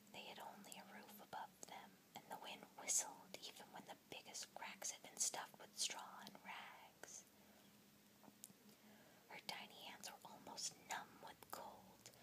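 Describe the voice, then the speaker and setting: A whispering voice moves at a fairly slow pace over noticeable background noise. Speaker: ASMR storyteller. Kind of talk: whispered story reading, ASMR fairytale. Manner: whispered, soft.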